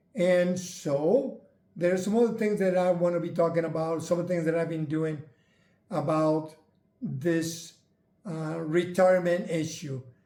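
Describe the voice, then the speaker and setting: Dark, mellow tone at a fairly slow pace, with audible room echo. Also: man, high pitch for a man, ordinary pitch variation. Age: 70s. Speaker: retired channel host sharing health journey. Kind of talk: casual chat.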